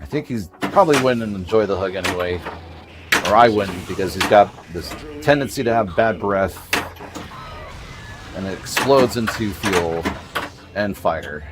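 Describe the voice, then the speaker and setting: Over noticeable background noise, a man with an American accent talks at a moderate pace in a fairly low pitch, using lively intonation and long, frequent pauses. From US West Coast, Bay Area California. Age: 40s. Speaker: pinball streamer. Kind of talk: casual live-stream gameplay commentary. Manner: casual, conversational.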